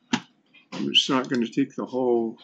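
Noticeable background noise behind a man at a moderate pace. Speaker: gaming streamer on chemotherapy; streamer. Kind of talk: casual gameplay livestream commentary. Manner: halting, many fillers. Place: home room.

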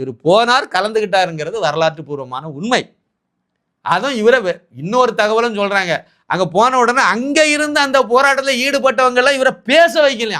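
A man projects a raised voice with a bright, sharp tone at an extremely high pitch. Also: lively intonation. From Tamil Nadu, Kanyakumari district, east of Nagercoil. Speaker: political commentator. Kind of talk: political commentary monologue.

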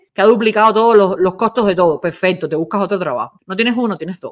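A woman's animated tone at a very fast pace against a quiet background. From Cuba. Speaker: online show host, former radio and TV presenter; online show host, former radio, TV presenter. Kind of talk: casual commentary chat. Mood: sarcastic, mocking. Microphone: video call.

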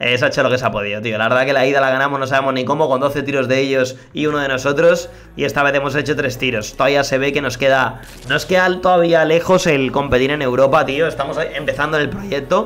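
Over noticeable background noise and audible room echo, a man talks very fast in a fairly high voice. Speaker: gaming youtuber. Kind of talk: live gameplay commentary. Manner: animated; subdued energy.

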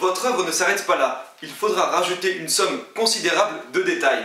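A man speaks in a raised, projected voice with ordinary pitch variation. Audible room echo surrounds him. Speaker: video creator giving comic-making tips. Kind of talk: tutorial. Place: home room.

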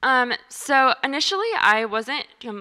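A woman speaks with a bright, sharp tone. Her background is quiet. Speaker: presenter. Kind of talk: presentation talk. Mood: calm, many filler ums. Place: meeting room. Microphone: handheld.

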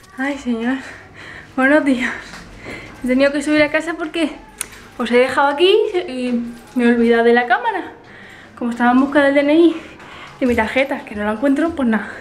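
Pausing long and often, a woman speaks at a high pitch with ordinary pitch variation over light background noise. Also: fairly quick pace. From Elche, Alicante, Spain. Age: 20s. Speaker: vlogger. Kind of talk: casual vlog talk to camera. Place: home room. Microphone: phone near.

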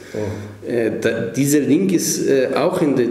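A man talks with lively intonation in an Israeli accent. Room echo is audible. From Israel, Negev desert kibbutz. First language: Hebrew (speaking German). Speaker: professor and author; professor. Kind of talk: interview. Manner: halting. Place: meeting room.

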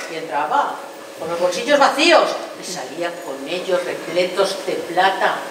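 A woman speaks at a fairly slow pace. Noticeable background noise and audible room echo are present. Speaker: stage actress playing an aunt. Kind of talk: theatrical monologue. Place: stage.

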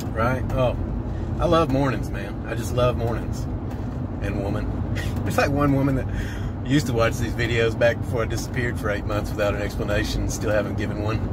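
Over loud background noise, a man speaks at a fairly quick pace in a dry recording with no echo. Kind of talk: casual vlog chat. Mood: cheerful, joking. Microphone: phone near.

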